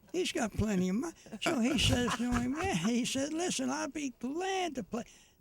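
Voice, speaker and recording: A man speaks at an extremely high pitch and a moderate pace, his pitch swinging very widely. Background noise is noticeable. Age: 80s+. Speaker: retirement community resident and TV segment host. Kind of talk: joke telling on a radio morning show. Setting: radio studio. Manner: halting, with many fillers.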